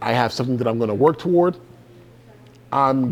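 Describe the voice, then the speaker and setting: Here a man speaks in a normal speaking voice at medium pitch. His pace is fairly quick, with ordinary pitch variation. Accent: American. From US South, Georgia. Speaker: motivational speaker. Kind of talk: keynote speech. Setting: stage with audience.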